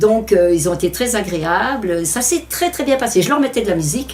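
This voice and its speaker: A woman's fairly quick speech, full of very wide pitch swings, comes through noticeable background noise. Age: 70s. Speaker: home adaptation beneficiary. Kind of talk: testimony. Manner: halting.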